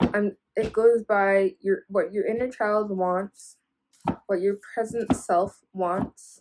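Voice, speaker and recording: Very slowly and in a monotone, flat intonation, a woman speaks at medium pitch in a dry, close sound with no echo. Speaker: tarot reader. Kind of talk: tarot reading. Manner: enunciating carefully; casual, filler-heavy.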